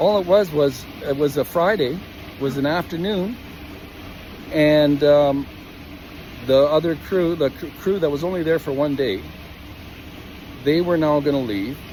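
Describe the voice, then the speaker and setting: Over noticeable background noise, a man talks at a moderate pace with a fairly high pitch, ordinary pitch variation, and long, frequent pauses. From Canada, Calgary, Alberta. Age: 60s. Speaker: equipment operator telling a workplace grievance. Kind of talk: personal testimony vlog. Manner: halting, many fillers and restarts.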